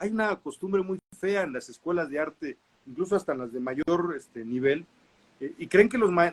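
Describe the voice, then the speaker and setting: Speaking with lively intonation at a moderate pace, a man uses a high pitch. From Mexico, Nezahualcóyotl (State of Mexico). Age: 60s. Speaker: visual artist. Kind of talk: interview. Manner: hesitant, many fillers and repetitions.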